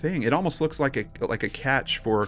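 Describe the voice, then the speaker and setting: Male speech at a fairly slow pace with very wide pitch swings, over music in the background. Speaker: podcast co-host. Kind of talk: casual podcast conversation.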